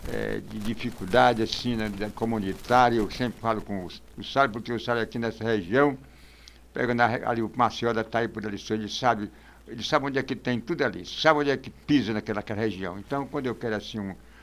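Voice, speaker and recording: This man talks very fast. The intonation remains fairly even. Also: medium pitch for a man. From Brazil, Ceará (São Gonçalo do Amarante). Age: 80s+. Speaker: community elder and local historian. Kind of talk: podcast interview.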